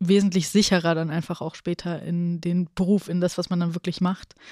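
On a very clean recording with a silent background, a woman with a fairly low, dark, mellow voice speaks at a moderate pace in a monotone, flat intonation with hardly any pauses, the sound dry and close with no echo. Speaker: podcast host. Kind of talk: casual interview. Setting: studio.

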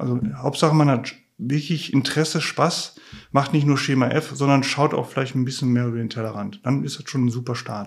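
With an ordinary speaking voice, a man talks at a fairly quick pace and a medium pitch, his pitch varying in an ordinary way. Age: 50s. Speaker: materials tester, trainer. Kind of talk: casual interview. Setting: workshop on site.

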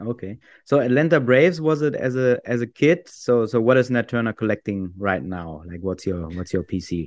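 A man with a German accent at medium pitch, very wide pitch swings, a moderate pace and hardly any pauses, in a dry, close sound with no echo over a quiet background. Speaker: podcast host. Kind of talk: casual interview.

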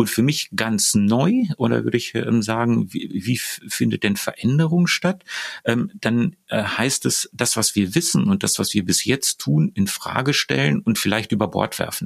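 Dry and close with no echo, a man's medium-pitched voice with vocal fry moves at a fairly slow pace, making very wide pitch swings while keeping its loudness very even. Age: 50s. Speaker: neurobiologist and leadership trainer. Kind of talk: interview. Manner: halting, many fillers.

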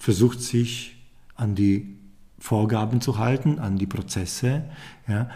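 A man speaks at a very slow pace with a medium pitch and ordinary pitch variation. His voice is somewhat breathy, with a dark, mellow tone. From Poland. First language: Polish (speaking German). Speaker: leadership consultant and podcast host. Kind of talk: casual chat. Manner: halting.

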